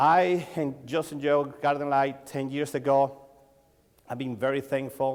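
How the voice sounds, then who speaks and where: In a Mexican accent, a man talks at a moderate pace with a fairly high pitch and monotone, flat intonation. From Mexico. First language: Spanish. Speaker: lighting designer and sales coach. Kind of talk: conference talk. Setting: stage with audience. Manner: halting.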